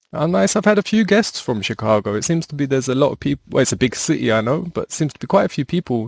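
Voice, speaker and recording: Very fast and with hardly any pauses, a man talks at a fairly high pitch with very wide pitch swings. The sound is dry and close, with no echo. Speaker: podcast host. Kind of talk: podcast interview questions.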